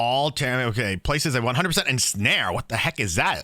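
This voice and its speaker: A man speaks in an animated, bright, sharp tone with vocal fry. The recording is very clean, with a silent background. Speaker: gaming youtuber. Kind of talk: reaction commentary. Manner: halting.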